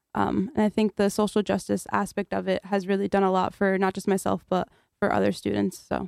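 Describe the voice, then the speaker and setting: With a Connecticut accent, a woman speaks at a fairly quick pace and a medium pitch. The recording is very clean, with a silent background and a dry, close sound with no echo. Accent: American (Connecticut). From Kurdistan, raised in Connecticut, US. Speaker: university student. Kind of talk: radio interview.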